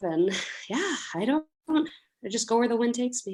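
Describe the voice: Speaking at a fairly slow pace, a woman uses a fairly high pitch with big pitch swings.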